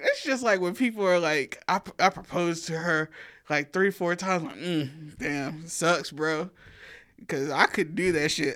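A woman with a strong Southern US accent speaks at a fairly slow pace in a fairly low pitch with ordinary pitch variation. The recording is very clean, with a silent background. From US South. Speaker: podcast co-host. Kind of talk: casual chat.

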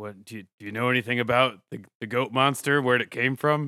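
A man's put-on, gravelly character voice at medium pitch and moderate pace, with fairly even intonation and big swings in loudness. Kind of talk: comic impression of a film hero. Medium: actual play. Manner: terse, grim.

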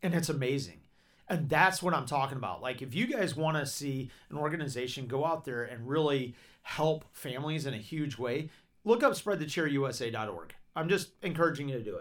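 A man with a Southern US accent speaks in an animated tone at a fairly quick pace, his fairly high pitch showing ordinary variation, on a very clean recording with a silent background. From Georgia, US South. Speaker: podcast host. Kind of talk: casual chat. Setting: studio.

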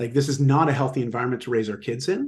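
Somewhat breathy, a man speaks at a medium pitch. His pace is fairly quick. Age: 40s. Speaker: fitness and lifestyle coach, author. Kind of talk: casual interview. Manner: animated.

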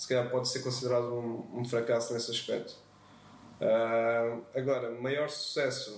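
Over noticeable background noise and audible room echo, a man speaks at a medium pitch with monotone, flat intonation. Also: fairly slow pace. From Portugal, Azeitão (Setúbal). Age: 20s. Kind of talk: casual interview chat.

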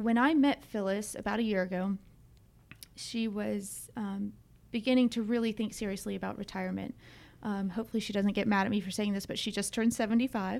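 A woman with an unremarkable speaking voice and an American accent, medium in pitch, at a fairly quick pace. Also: fairly even intonation. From US South, Atlanta area (Georgia). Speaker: business owner, company CEO. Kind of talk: interview.

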